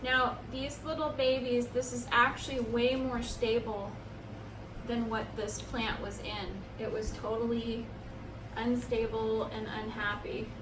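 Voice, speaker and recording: A woman talks fairly slowly, with audible room echo and noticeable noise in the background. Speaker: plant care YouTuber. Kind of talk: tutorial. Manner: loud. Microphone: no microphone, camera audio.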